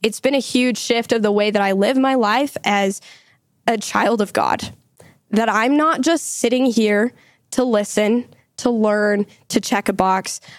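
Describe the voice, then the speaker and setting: Speaking at a fairly slow pace with an American accent, a woman uses a plain, everyday voice that is fairly high in pitch, with fairly even intonation and very even loudness. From Utah. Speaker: university student. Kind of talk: podcast interview.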